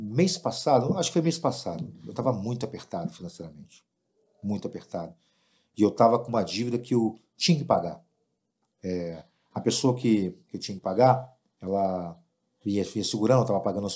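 Against a silent background in a very clean recording, a man with a dark, mellow tone uses lively intonation and takes long, frequent pauses. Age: 50s. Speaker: event producer and music promoter. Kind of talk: casual chat.

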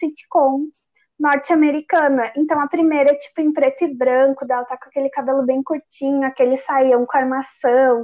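A woman speaks at a moderate pace. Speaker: podcast co-host. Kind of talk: casual chat.

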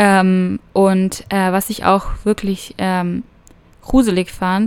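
A woman with a medium pitch speaks in a monotone, flat intonation. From Germany, small village. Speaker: au pair vlogger. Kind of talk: casual personal monologue. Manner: hesitant, many fillers.

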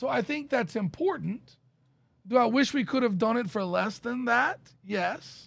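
Lively intonation carries this fairly slow speech delivered with an American accent. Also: man, extremely high pitch for a man. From Dallas, Texas area. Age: 50s. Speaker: insurance benefits consultant. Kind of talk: casual interview.

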